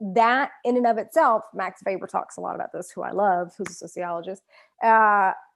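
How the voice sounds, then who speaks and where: A woman with a strong Southern US accent talks at a fairly quick pace with a medium pitch and ordinary pitch variation. Her loudness swings widely against a quiet background. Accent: thick Southern US. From US South. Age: 40s. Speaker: author. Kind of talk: interview. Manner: halting.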